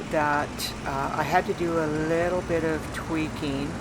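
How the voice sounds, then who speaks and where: The voice moves at a very slow pace with fairly even intonation, carrying audible room echo amid noticeable background noise. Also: woman. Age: 60s. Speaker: YouTuber. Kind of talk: tutorial. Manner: halting.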